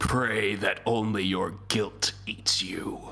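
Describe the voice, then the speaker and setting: A man speaks in a put-on character voice, raspy and fairly low in pitch. His pace is very slow. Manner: spooky, ominous.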